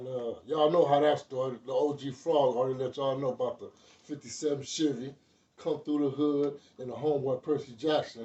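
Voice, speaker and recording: This man talks in a flat monotone while his loudness swings widely. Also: fairly high pitch for a man. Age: 60s. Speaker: former gang member. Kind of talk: interview. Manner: casual.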